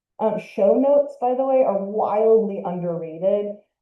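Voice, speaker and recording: Audible room echo surrounds a woman whose voice shows ordinary pitch variation. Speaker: museum educator and podcaster. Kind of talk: lecture.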